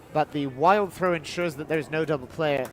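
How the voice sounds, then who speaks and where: Ordinary pitch variation marks this voice with a British accent. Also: man. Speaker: baseball commentator. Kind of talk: live commentary.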